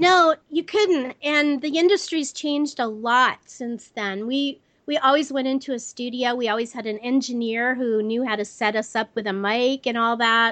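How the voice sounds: A woman talks at a fairly high pitch with a fairly bright tone. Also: ordinary pitch variation, moderate pace.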